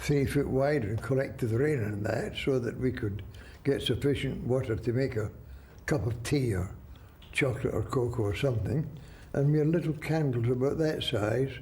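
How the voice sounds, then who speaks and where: Somewhat breathy, this man has a dark, mellow tone. His pitch varies in an ordinary way. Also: medium pitch for a man, moderate pace. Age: 80s+. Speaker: war veteran. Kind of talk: interview answer.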